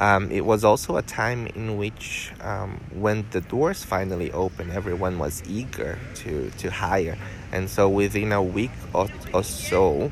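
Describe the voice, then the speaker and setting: With noticeable background noise, a man talks fairly slowly at a fairly low pitch with ordinary pitch variation. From Brazil. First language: Portuguese. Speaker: teacher. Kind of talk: interview. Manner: hesitant, many filler sounds.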